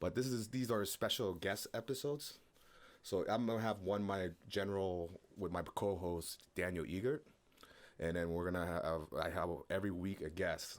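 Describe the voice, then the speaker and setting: The speaker is a man with a very deep, low pitch. His pitch varies in an ordinary way. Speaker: podcast host. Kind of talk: casual chat. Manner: loud.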